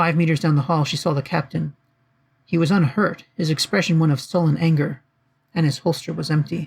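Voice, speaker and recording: A man with a plain, everyday voice talks at a fairly high pitch and fairly quick pace, with very even loudness and fairly even intonation. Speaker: author reading own fiction. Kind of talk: audiobook narration.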